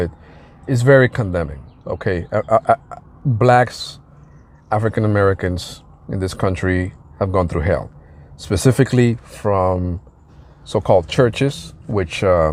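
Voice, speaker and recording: With a slight non-native accent, a man speaks at a fairly low pitch and a moderate pace, with ordinary pitch variation and long, frequent pauses. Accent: slight foreign. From outside the US. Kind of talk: casual commentary monologue. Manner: hesitant, many fillers.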